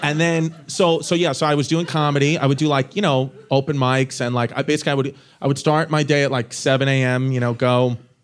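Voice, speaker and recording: A man with an unremarkable speaking voice talks at a fairly quick pace and a fairly high pitch, with fairly even intonation. His loudness stays very even, and he hardly pauses. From Brooklyn, New York City. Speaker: stand-up comedian guest. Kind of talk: casual interview banter. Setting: stage with audience.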